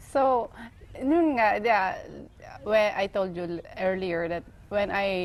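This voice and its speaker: Speaking very slowly with lively intonation, a woman with a Filipino accent keeps a medium pitch. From Philippines. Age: 40s. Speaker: pageant winner, civil engineer. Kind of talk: TV interview. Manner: halting.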